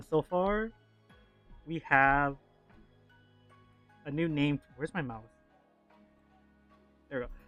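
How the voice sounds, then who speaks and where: With music in the background, a man with a fairly high pitch and ordinary pitch variation speaks at a fairly slow pace, leaving long, frequent pauses. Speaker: vtuber streamer and artist. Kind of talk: casual livestream chat. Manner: calm.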